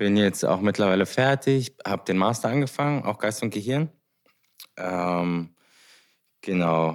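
A man's fairly low voice, lively in intonation, at a fairly slow pace with long, frequent pauses. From Germany, Heidelberg. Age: 20s. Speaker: podcast co-host, sound engineer, musician. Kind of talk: casual chat.

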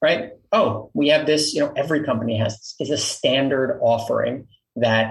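A man with a New York accent at a moderate pace. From Queens, New York. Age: 40s. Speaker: company founder and CEO. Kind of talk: casual interview.

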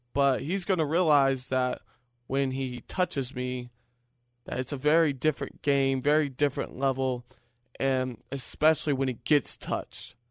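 In an unremarkable speaking voice, a man with an American accent talks at a medium pitch and moderate pace, his intonation fairly even, the sound dry and close with no echo. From Virginia, US. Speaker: independent pro wrestler. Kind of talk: boastful wrestling promo interview. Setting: radio studio.

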